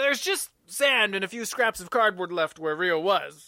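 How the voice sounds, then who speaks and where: A gruff, put-on character voice at a moderate pace. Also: man. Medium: read story. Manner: gruff, blunt, lowers his voice to swear.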